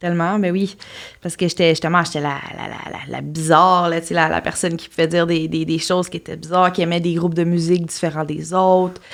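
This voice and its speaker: A woman's fairly low, monotone, flat voice at a fairly quick pace, with big swings in loudness. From Quebec, Témiscamingue. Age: 30s. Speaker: podcast guest. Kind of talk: interview, personal testimony. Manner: halting, many fillers and repetitions.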